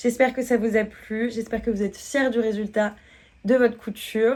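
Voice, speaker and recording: A woman speaks in an unremarkable speaking voice at a fairly high pitch. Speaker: sewing tutor. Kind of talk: tutorial.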